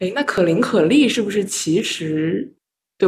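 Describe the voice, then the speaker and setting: Vocal fry runs through this voice, which moves at a moderate pace with lively intonation. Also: woman. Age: 20s. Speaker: podcast host, medical student. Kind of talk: casual chat.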